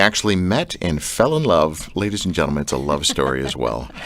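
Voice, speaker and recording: A man's moderately paced speech shows very wide pitch swings and vocal fry. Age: 40s. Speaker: radio host. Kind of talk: radio interview. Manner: animated.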